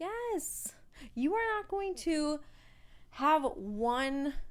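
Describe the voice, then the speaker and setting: On a very clean recording with a silent background, a woman speaks in an animated tone with lively intonation. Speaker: podcast co-host. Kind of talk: casual chat. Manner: loud.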